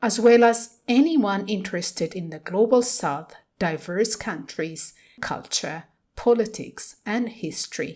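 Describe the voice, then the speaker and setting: Speaking with an unremarkable speaking voice, a woman at a fairly high pitch moves at a fairly slow pace with lively intonation and big swings in loudness. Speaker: podcast host. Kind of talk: podcast introduction.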